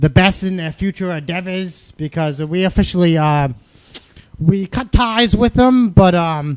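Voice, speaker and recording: A man talks at a high pitch with ordinary pitch variation. His pace is fairly slow. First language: French. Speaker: pro wrestler and podcast co-host. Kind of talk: casual chat. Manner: animated.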